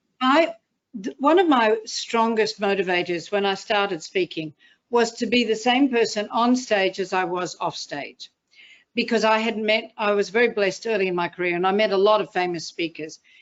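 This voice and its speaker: Keeping a moderate pace, a woman talks in a fairly high pitch. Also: ordinary pitch variation. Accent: Australian. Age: 60s. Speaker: motivational speaker. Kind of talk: interview.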